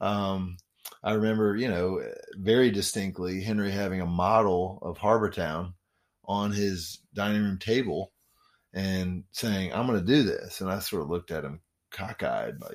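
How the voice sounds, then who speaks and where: On a very clean recording with a silent background, a man speaks in a normal speaking voice. His pitch is fairly low and his pace fairly slow. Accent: American. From Memphis, Tennessee and Washington DC. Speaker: real estate developer and former radio DJ. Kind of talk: radio interview.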